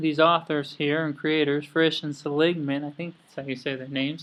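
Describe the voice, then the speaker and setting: A man with an Idaho accent, fairly high in pitch, monotone and flat, at a moderate pace against a quiet background. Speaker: student. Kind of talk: class presentation.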